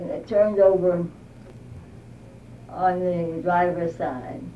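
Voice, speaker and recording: A woman with a fairly low pitch and a dark, mellow tone speaks at a very slow pace with ordinary pitch variation amid audible room echo. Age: 90s. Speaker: oral history interviewee. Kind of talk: oral history interview. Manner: halting.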